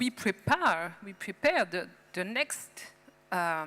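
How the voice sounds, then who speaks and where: Over music in the background, a woman with a French accent talks at a very slow pace, her pitch swinging very widely. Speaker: policymaker. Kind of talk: panel discussion. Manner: halting.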